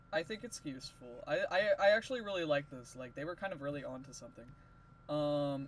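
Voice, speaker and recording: Noticeable background noise runs under fairly quick speech. The intonation is lively, and the loudness swings widely. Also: man, fairly high pitch for a man. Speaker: drawing tutorial creator. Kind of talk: tutorial. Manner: casual, halting with many fillers.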